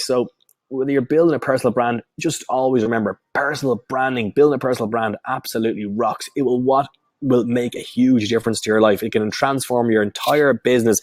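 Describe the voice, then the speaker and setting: Speaking at a very fast pace in a Dublin accent, a man with a medium pitch sounds animated, using ordinary pitch variation, in a dry, close recording with no echo. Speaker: online marketing coach. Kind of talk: webinar sales pitch; live training webinar. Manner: slurring words; animated, repetitive.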